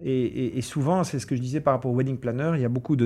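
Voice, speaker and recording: This man's tone is dark and mellow, and the background stays quiet. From Brussels, Belgium. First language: English (speaking French). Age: 40s. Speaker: event organizer. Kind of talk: interview. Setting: hotel recording. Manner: halting, repeats words.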